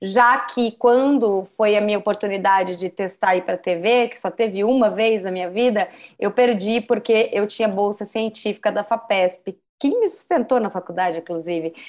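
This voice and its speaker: A woman has a normal speaking voice at medium pitch with ordinary pitch variation, talking at a moderate pace with hardly any pauses on a very clean recording with a silent background. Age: 40s. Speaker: journalist and career coach. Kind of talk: casual interview.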